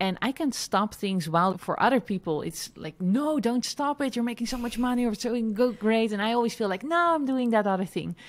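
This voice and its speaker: The recording is very clean, with a silent background. A woman speaks fairly quickly with lively intonation and hardly any pauses. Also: fairly high pitch for a woman. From Netherlands. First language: Dutch. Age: 30s. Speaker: entrepreneur and online educator. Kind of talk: interview. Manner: somewhat halting in English.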